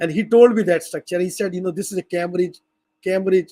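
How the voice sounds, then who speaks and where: On a dry, close recording with no echo, a man with a high pitch and a non-native accent speaks at a fairly quick pace. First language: not English. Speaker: language educator. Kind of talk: lecture. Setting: video call. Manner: halting.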